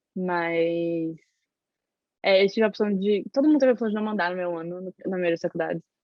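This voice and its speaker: This woman talks at a fairly quick pace. Her pitch is medium, with ordinary variation. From Brazil, Salvador, Bahia. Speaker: university student. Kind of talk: interview. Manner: fast.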